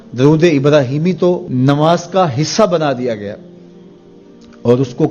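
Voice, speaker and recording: Music plays behind a fairly high-pitched man who speaks with lively intonation. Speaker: Islamic scholar giving a sermon. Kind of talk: religious sermon.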